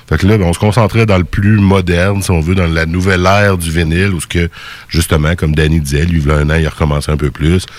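At a very fast pace, a man in a Quebec accent speaks with a very deep, low pitch and fairly even intonation. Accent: Québécois French. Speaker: radio host. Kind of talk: casual chat.

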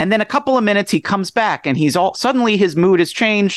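A man is speaking at a fairly quick pace. The background is quiet. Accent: American. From suburban New Jersey. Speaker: author. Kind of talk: interview.

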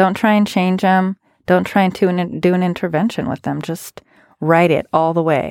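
In a very clean, dry and close recording with a silent background and no echo, a woman speaks in a plain, everyday voice at a medium pitch and a moderate pace, with ordinary pitch variation. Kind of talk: casual chat.

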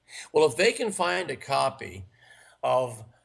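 A man talks at a fairly slow pace with vocal fry in his voice. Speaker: sales trainer and author. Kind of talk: interview.

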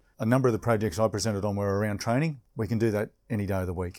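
Very fast speech comes from a man with an Australian accent and a dark, mellow tone, showing ordinary pitch variation. The recording is very clean, with a silent background. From Queensland, Australia. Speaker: police inspector. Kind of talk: interview conversation. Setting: hotel reception.

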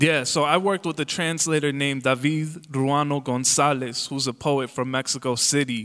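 A man with an American accent in an unremarkable speaking voice, a fairly high pitch, fairly even intonation and a moderate pace. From Chicago suburbs, Illinois. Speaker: poet. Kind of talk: interview.

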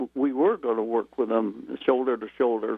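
With a Midwestern American accent, a man talks at medium pitch with fairly even intonation. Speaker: retired automotive engineer. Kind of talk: radio interview. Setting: phone call.

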